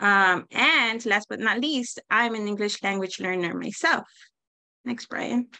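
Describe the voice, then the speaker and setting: A woman with a Spanish accent speaks in a fairly high voice with a bright, sharp tone. Her pace is fairly slow, with ordinary pitch variation. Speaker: teacher. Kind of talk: presentation.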